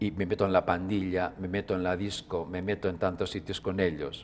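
A man's very deep, low voice at a fairly slow pace, over light background noise. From Spain. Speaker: religious brother and author. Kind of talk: interview. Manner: gentle and calm. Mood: calm, gentle. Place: studio. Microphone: lapel.

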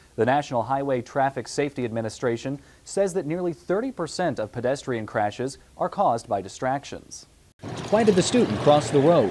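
In an ordinary speaking voice, a man talks at a moderate pace with fairly high pitch and lively intonation over light background noise. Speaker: student news reporter. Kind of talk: news package narration. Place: studio. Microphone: lapel.

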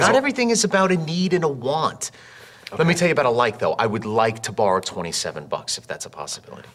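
Talking at a very fast pace, a man with a fairly high pitch makes very wide pitch swings and big swings in loudness. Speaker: actor. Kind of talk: TV commercial read. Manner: casual, comedic. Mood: playful comedic. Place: studio.

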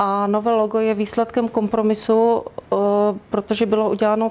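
Monotone, flat intonation runs through a woman's speech at a moderate pace. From Czechia, Ostrava (Moravian-Silesian region); Moravian-Silesian region, Czechia. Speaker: university press spokesperson. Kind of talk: interview. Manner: formal. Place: studio. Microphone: lapel.

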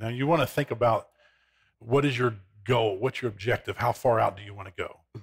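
Over a quiet background, a man talks at a very fast pace, somewhat breathy, with fairly even intonation. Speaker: guest. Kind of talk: interview answer. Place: studio. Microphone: headset.

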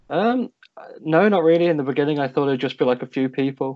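A man with a British accent speaks at a very fast pace. The background is quiet. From United Kingdom. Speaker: student association volunteer. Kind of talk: interview. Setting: video call. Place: home room. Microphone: video call.

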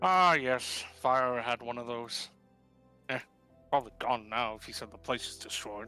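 A man in a put-on character voice leaves long, frequent pauses while faint music plays in the background. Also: medium pitch for a man, moderate pace. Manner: gruff, dismissive, careless.

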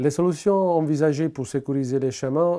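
A man talks in a dark, mellow tone over a quiet background. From Italy. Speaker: local resident presenting a civic project. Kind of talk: prepared pitch to camera. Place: home room. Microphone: lapel.

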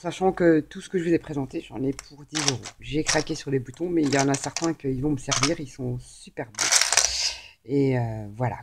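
Loud background noise sits behind a woman's voice. She speaks at a moderate pace with ordinary pitch variation. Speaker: craft haul vlogger. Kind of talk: casual haul video chat. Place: home room. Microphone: camera far.

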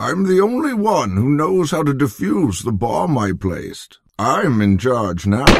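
A man talks at medium pitch and a fairly slow pace. His pitch swings very widely. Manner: smug, commanding.

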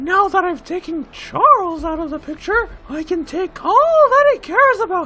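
A man's put-on character voice, extremely high-pitched, at a moderate pace with hardly any pauses

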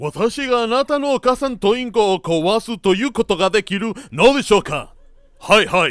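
This man speaks at a moderate pace. The recording is very clean and dry, close and free of echo, with a silent background. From Veracruz, Mexico. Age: 50s. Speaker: interviewee telling his life story. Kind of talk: storytelling.

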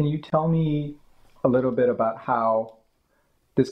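A man speaks in an ordinary speaking voice. His pace is moderate, with ordinary pitch variation. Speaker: museum archivist. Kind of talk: oral history interview. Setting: at interviewee's home.

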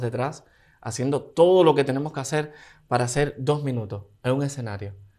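On a quiet background, a man with a Cuban accent speaks at a moderate pace. His pitch is medium, with ordinary variation. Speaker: dancer and singer; guest. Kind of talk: interview. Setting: studio. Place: studio. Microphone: studio mic.

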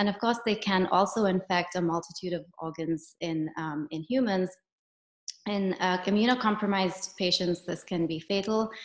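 Room echo is audible as a woman speaks over a quiet background. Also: fairly even intonation, moderate pace. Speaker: professor. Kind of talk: lecture. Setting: video call. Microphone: video call.

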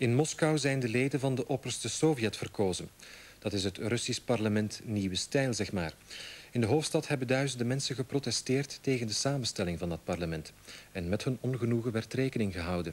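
In a Flemish accent, a man talks at a fairly quick pace with lively intonation. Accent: Flemish Dutch. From Belgium (Flanders). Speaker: news anchor. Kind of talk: 1989 TV news broadcast, scripted anchor delivery. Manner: formal, clear and authoritative. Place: studio.

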